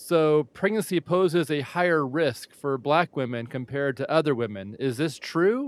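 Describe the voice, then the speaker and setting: A man with a normal speaking voice, fairly high pitch, lively intonation and moderate pace, hardly any pauses, in a dry, close sound with no echo. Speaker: podcast host. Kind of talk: interview.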